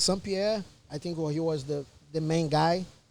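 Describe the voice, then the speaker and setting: In a Portuguese accent, a man with a high pitch speaks at a moderate pace with fairly even intonation. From Brazil. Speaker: MMA fighter. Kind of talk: casual chat.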